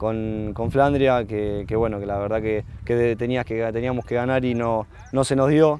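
A man in monotone, flat intonation, with a dry sound with no echo and light background noise. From Argentina, Rosario; Argentina. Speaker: professional footballer. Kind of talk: interview. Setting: football stadium. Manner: halting, many fillers and repetitions. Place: stadium. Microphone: lapel.

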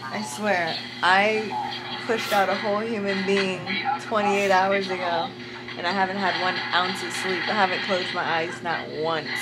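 Moderately paced speech from a woman, music playing behind. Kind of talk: casual vlog chat.

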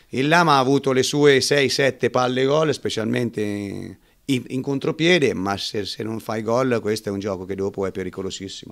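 With ordinary pitch variation, a man speaks at a moderate pace while the background stays quiet. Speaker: winning team coach. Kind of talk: post-match interview. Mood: calm, analytical post-match. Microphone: handheld.

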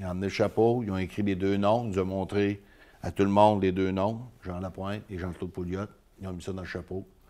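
With a Quebec accent, a man talks at a fairly quick pace in a fairly low pitch. His tone is dark and mellow, and his intonation is monotone and flat. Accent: rural Quebec French. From Île d'Orléans, Quebec. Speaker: mayor, former truck driver; mayor. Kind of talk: interview. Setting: studio. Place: studio.

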